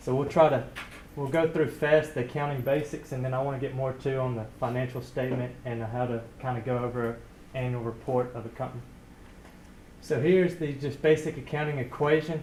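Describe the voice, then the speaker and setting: A man's somewhat breathy, medium-pitched voice with a Southern US accent, fairly quick and flatly monotone, with audible room echo. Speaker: student presenter. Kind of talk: lecture-style presentation.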